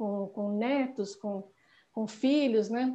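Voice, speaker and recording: A woman speaks with a dark, mellow tone and ordinary pitch variation. The background is quiet. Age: 60s. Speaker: longevity activist. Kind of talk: interview.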